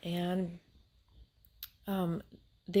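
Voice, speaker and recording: A woman speaks softly at a fairly low pitch. The recording is very clean, with a silent background. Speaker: Bible storyteller. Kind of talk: casual Bible retelling. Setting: at home, family asleep. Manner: soft-spoken, speaking low; halting, many fillers.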